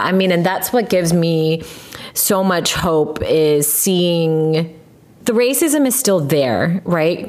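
Lively intonation at a very slow pace in an American accent, over noticeable background noise. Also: woman. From US, Korean American family. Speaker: podcast host. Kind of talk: casual chat.

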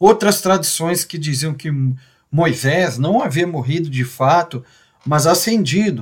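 Using lively intonation, a man with a high pitch talks at a fairly slow pace. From Brazil, Minas Gerais (Belo Horizonte). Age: 40s. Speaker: Anglican layman, agronomist giving Bible reflection. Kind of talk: Bible reflection talk.

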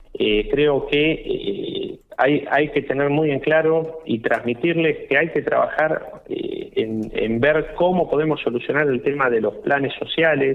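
Very slow male speech with very even loudness over noticeable background noise. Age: 40s. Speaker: political candidate. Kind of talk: radio interview. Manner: halting, many fillers.

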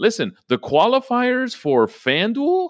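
In an energetic, animated tone, a man speaks with very wide pitch swings. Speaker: fantasy sports podcast host. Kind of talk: casual solo podcast talk. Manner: frequent repetitions and fillers.

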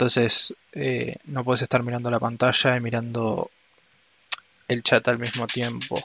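With a Rioplatense accent, a man speaks at a medium pitch in a dry, close sound with no echo. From Argentina. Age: 20s. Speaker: anthropology student. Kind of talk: interview. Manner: halting, with frequent fillers.

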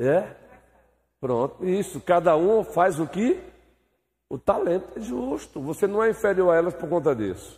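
A man talks at a fairly slow pace, his pitch high and his intonation lively. Long pauses come often. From Brazilian Northeast (Bahia/Pernambuco). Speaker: pastor teaching Sunday school. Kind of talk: Bible class teaching with discussion. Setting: church.

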